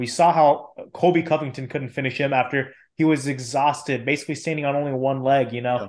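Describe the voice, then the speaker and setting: Over a quiet background, a man talks at a fairly quick pace in a fairly high pitch. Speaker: podcast co-host. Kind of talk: casual chat. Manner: animated.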